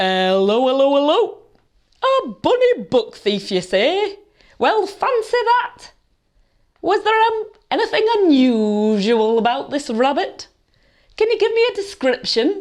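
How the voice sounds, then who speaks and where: A woman's put-on character voice at an extremely high pitch, with very wide pitch swings, very even loudness, a fairly slow pace and long, frequent pauses. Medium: read story. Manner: jovial, mock-official.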